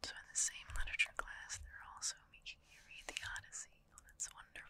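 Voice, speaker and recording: Whispering and soft-spoken, the voice rushes at a very fast pace with big swings in loudness. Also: woman. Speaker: ASMR creator playing bookshop clerk. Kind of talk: ASMR roleplay, bookshop clerk helping a customer. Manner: whispered, soft-spoken.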